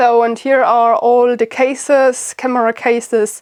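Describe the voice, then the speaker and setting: A woman with a German accent and fairly high pitch speaks with monotone, flat intonation. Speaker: bushcraft YouTuber. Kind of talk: casual home tour vlog. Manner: hesitant with fillers.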